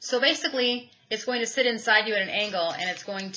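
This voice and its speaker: Ordinary pitch variation in a woman's speech. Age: 30s. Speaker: YouTube product reviewer. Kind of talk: product review vlog. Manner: casual, candid. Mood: enthusiastic, frank. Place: home room. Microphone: webcam.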